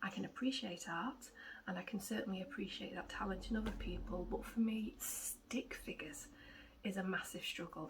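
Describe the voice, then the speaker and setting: A woman speaks at a medium pitch with an English accent. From England. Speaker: cross-stitch vlogger. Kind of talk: casual vlog chat. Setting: at home with cats. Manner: rambling, hesitant with many ums.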